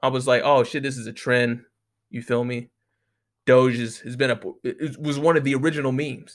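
At a fairly quick pace, a man of medium pitch talks in an animated tone with big swings in loudness and long, frequent pauses. The recording is very clean, with a silent background. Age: 20s. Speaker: podcast host. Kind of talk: casual monologue.

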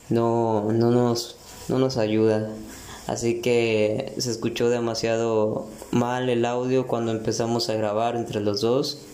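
A man's medium-pitched voice at a very slow pace, monotone and flat, with very even loudness, audible room echo and noticeable background noise. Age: 20s. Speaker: podcaster. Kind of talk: casual monologue. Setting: bathroom at home. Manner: hesitant, many fillers.

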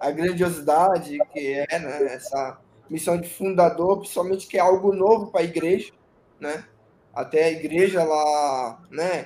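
This man's voice sits high, with a dark, mellow tone and ordinary pitch variation. He speaks at a fairly slow pace. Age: 30s. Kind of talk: interview testimony.

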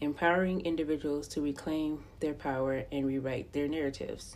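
With an American accent, a woman speaks in a very deep, low pitch and fairly even intonation. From US, Los Angeles County, California. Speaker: podcast host. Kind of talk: scripted narration.

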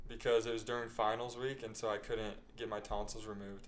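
A man with an American accent talks at a fairly quick pace. His intonation is monotone and flat, with audible room echo. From Utah. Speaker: startup employee and podcast co-host. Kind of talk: casual chat.

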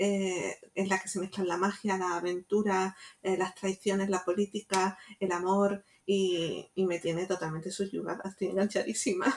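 A woman's medium-pitched voice, monotone and flat, at a fairly slow pace. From Jaén, Andalusia, Spain. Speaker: writer and teacher. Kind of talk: interview.

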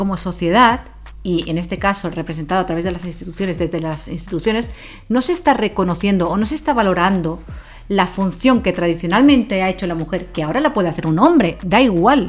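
Talking at a very fast pace, a woman with a medium pitch uses lively intonation. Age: 40s. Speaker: podcast co-host. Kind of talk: casual debate.

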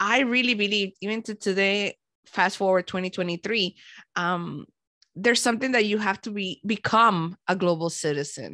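In a Caribbean accent, a woman speaks at medium pitch with a bright, sharp tone, recorded dry and close with no echo. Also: ordinary pitch variation, moderate pace. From Panama, raised in Miami. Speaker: podcaster and former broadcast media planner. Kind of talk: casual interview chat. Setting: video call.

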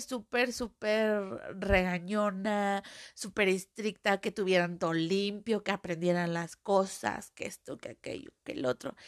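A woman with a Mexican accent speaks slowly in an animated tone at a medium pitch, with a dry, close sound with no echo and a quiet background. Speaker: podcaster. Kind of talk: casual monologue. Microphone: new microphone, audio problems.

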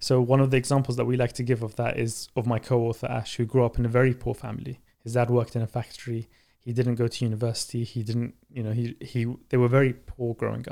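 Delivered at a very fast pace with a London accent, the voice has a dark, mellow tone and monotone, flat intonation. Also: man, medium pitch for a man. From Baghdad, Iraq, then London. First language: Arabic. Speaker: author and startup founder. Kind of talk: interview.

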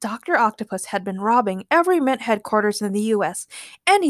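Over a quiet background, the intonation stays lively in this plain reading aloud.

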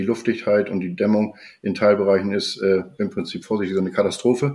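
A man with a plain, everyday voice speaks at a fairly low pitch and a fairly quick pace. His pitch variation is ordinary, and the background is quiet. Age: 50s. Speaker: homeowner, building materials merchant. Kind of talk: casual interview.

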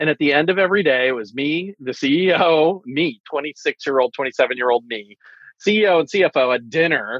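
Using a plain, everyday voice, a man talks at a fairly slow pace with a fairly high pitch and lively intonation. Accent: American. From US East Coast. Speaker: tech marketing executive. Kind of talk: casual chat.

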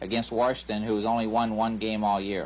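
A man talks at a moderate pace in a plain, everyday voice, fairly low in pitch. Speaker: sports betting analyst. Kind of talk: sports betting picks discussion.

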